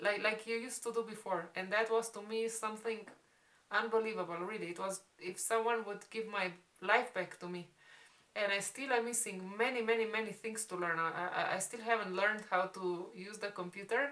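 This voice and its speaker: The voice has a bright, sharp tone and fairly even intonation at a fairly quick pace. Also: woman, fairly high pitch for a woman. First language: Spanish. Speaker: vlogger. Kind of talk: casual storytime chat. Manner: halting.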